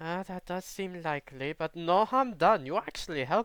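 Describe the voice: Someone reads the text out loud. The delivery is plain.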